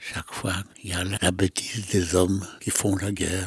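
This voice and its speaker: A man's very deep, low, somewhat breathy voice in a monotone, flat intonation, with a dry, close sound and no echo. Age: 90s. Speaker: sculptor. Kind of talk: interview. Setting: artist's workshop. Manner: halting.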